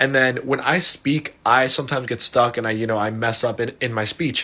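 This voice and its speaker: Bright and sharp in tone, a man's medium-pitched voice moves at a fairly quick pace. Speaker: storyteller vlogger. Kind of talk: storytime monologue. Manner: animated, casual.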